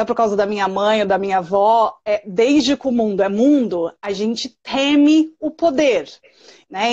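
There is a quiet background as a woman speaks at a fairly high pitch. Her pace is fairly slow, with ordinary pitch variation. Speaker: early childhood specialist and podcast host. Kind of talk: live stream conversation. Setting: live stream video call. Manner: loud.

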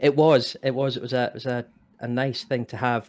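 A man in a Scottish accent, with monotone, flat intonation. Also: very clean recording, silent background. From Scotland. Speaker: podcast co-host. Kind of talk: casual chat.

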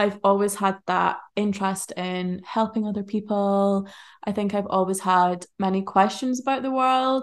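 Against a quiet background, a normal speaking voice talks at a middling speed, its intonation fairly even. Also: woman, medium pitch for a woman. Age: 20s. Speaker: charity worker in the humanitarian field. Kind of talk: casual interview chat. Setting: in person at home, living room.

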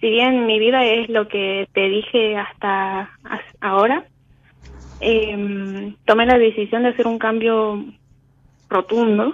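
A woman's fairly high voice at a very slow pace, with fairly even intonation and long, frequent pauses. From Argentina, Tucumán. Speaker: caller. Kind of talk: phone call consultation.

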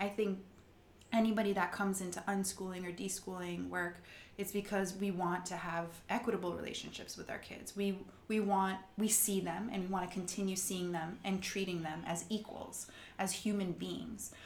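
A woman speaks at a moderate pace and a medium pitch. Her intonation is monotone and flat, with audible room echo around her. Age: 40s. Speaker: podcast co-host. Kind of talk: scripted narration; casual chat.

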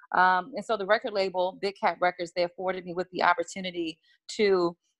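A woman talks at a moderate pace with an American accent and a medium pitch. Her tone is bright and sharp, and the sound is dry and close with no echo. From Washington, D.C. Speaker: music publicist and author. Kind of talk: casual interview chat.

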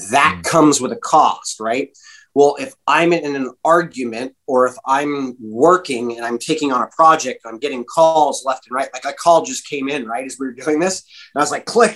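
With a West Coast US accent, a man speaks at a fairly high pitch with ordinary pitch variation. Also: moderate pace. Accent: American (West Coast). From California. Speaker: breathing and performance coach. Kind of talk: interview conversation.

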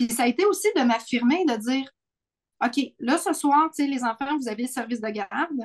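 In a Quebec accent, a woman with a high pitch and lively intonation speaks at a moderate pace, the sound dry and close with no echo. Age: 40s. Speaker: podcast co-host. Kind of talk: casual chat.

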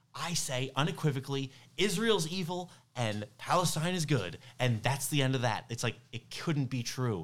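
Lively in intonation, a man with a fairly high pitch speaks at a moderate pace. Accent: New York. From New York. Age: 30s. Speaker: stand-up comedian. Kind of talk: casual chat.

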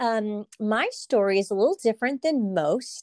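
The dry, close sound with no echo carries a woman's fairly high voice with a Californian accent, moving at a fairly slow pace. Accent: Californian American English. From California, Salinas. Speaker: produce company marketing and communications. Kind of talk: interview.

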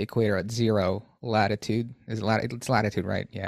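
On a very clean recording with a silent background, a man at medium pitch speaks in an unremarkable speaking voice. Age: 30s. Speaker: podcast host. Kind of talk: casual interview.

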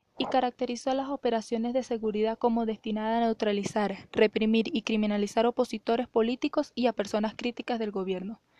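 A woman speaks very fast, with hardly any pauses, in a fairly high-pitched voice of dark, mellow tone. Her intonation is fairly even, and the sound is dry and close with no echo against a quiet background. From Venezuela, Mérida / El Vigía. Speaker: student. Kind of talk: scripted narration.

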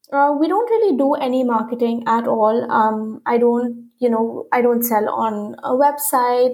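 Her intonation fairly even, a woman with a high pitch speaks at a moderate pace. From India. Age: 30s. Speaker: fashion designer. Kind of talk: interview. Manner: frequent fillers like um and you know.

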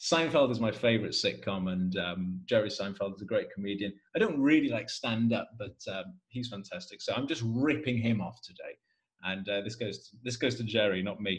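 With a Welsh accent, a man speaks at a fairly quick pace in a medium pitch, somewhat breathy, with ordinary pitch variation. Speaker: podcast host and English teacher. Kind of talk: casual chat.

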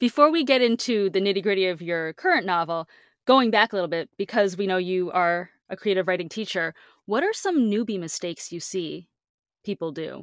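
The pace is moderate, with ordinary pitch variation, in a plain, everyday voice. The sound is dry and close with no echo, and the recording is very clean with a silent background. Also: woman. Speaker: podcast host. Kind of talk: casual interview chat.

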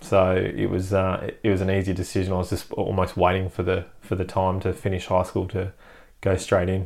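The recording is very clean, with a silent background. The speech comes at a fairly quick pace in a flat monotone. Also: man, very deep, low pitch for a man. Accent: Australian. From Perth, Western Australia. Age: 30s. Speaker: army veteran and medic turned business owner. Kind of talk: casual interview. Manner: halting, many fillers.

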